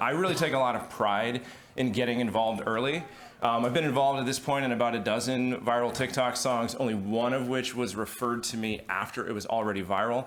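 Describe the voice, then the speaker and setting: A man talks at a very fast pace with a medium pitch and fairly even intonation. Audible room echo and noticeable background noise surround his voice. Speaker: music attorney. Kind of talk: panel discussion. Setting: stage with audience. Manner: hesitant, many fillers.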